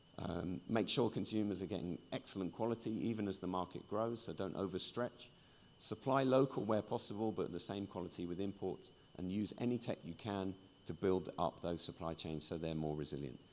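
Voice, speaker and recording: A man with a British accent speaks at a fairly quick pace in a very deep, low voice, with ordinary pitch variation. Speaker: industry journalist and conference speaker. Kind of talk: conference keynote talk.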